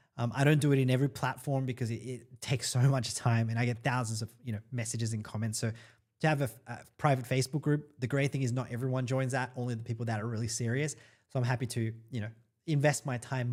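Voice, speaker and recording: A man speaks very fast in an Australian accent, his intonation monotone and flat. His voice is somewhat breathy in a very clean recording with a silent background. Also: medium pitch for a man. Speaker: online marketing influencer. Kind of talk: live stream Q&A. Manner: casual, hesitant with fillers.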